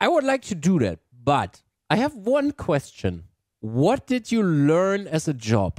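A man with a German accent talks fairly slowly at a high pitch with very wide pitch swings, in dry sound with no echo and a quiet background. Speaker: gaming YouTuber. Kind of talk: interview. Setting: video call. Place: home room. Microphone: video call.

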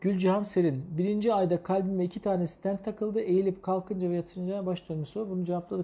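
This man's voice is high in pitch, with a dark, mellow tone. He speaks in a flat monotone with hardly any pauses. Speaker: cardiologist. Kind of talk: live medical Q&A broadcast. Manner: explanatory, hesitant fillers. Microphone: lapel.

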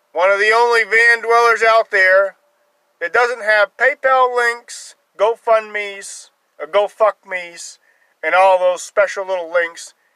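The speech comes at a fairly slow pace with long, frequent pauses. The sound is dry with no echo against a quiet background. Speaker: van dweller vlogger. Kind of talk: casual vlog chat. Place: car.

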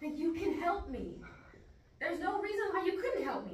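A woman's put-on character voice, extremely high in pitch with big pitch swings, at a moderate pace amid audible room echo.

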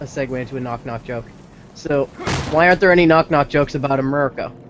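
Over noticeable background noise, a man speaks very fast at a fairly high pitch. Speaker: gaming show co-host. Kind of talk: casual chat.

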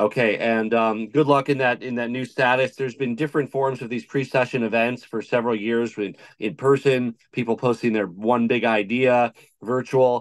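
A man talks at a moderate pace. His intonation is fairly even, and the background is quiet. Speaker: guest. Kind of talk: interview answer. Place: home room. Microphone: video call.

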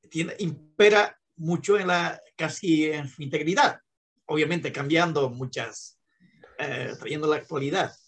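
At a fairly slow pace, a man speaks in a fairly high pitch with an ordinary speaking voice. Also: ordinary pitch variation. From Bolivia. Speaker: law student. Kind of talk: class discussion. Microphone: video call.

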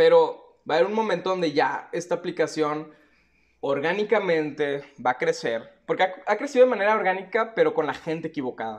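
Against a quiet background, a man with a high pitch and a Mexican accent talks at a fairly quick pace with lively intonation. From Mexico. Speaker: YouTuber, crypto and NFT commentator; YouTuber, NFT commentator. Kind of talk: unscripted video monologue. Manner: casual, slangy. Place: home room.

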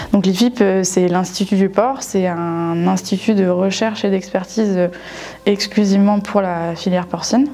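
At a fairly slow pace, a woman talks at medium pitch with fairly even intonation. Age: 20s. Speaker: former student, livestock research technician. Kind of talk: testimony. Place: classroom.

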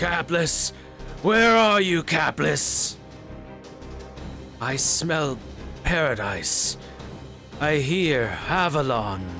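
A man's put-on character voice, fairly high and very slow, with clear music in the background. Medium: game stream. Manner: crazed, wailing, vengeful.

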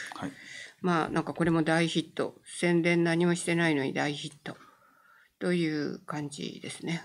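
The speaker keeps a monotone, flat intonation at a moderate pace. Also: woman, fairly low pitch for a woman. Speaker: film writer. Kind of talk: casual chat. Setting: live stream. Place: studio. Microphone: studio mic.

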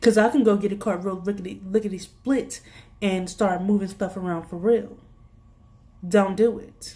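Somewhat breathy and dark, mellow in tone, a woman with an American accent speaks at medium pitch and moderate pace, her intonation fairly even and her loudness swinging widely. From US. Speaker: youtube vlogger and retail worker. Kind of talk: angry rant about work pet peeves. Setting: video blog. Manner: exasperated, sassy, informal. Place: home room. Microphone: phone near.

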